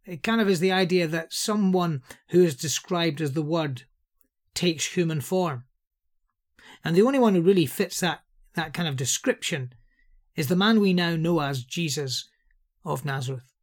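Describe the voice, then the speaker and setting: In a Scouse accent, a man with a high voice talks at a moderate pace with ordinary pitch variation and long, frequent pauses, in a very clean recording with a silent background. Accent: Scouse (Liverpool English). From Liverpool, England. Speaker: Bible teacher. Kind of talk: Bible teaching talk.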